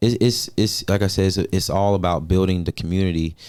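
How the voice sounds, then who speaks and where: Speaking with an American accent, a man's voice sits very deep and low, captured on a very clean recording against total silence. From Georgia, US South (Augusta). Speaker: singer. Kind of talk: interview.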